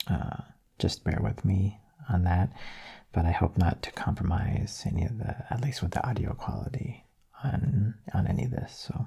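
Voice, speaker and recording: A man whispers at a moderate pace over noticeable background noise. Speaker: ASMR artist. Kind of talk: soft-spoken channel update talk. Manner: soft-spoken.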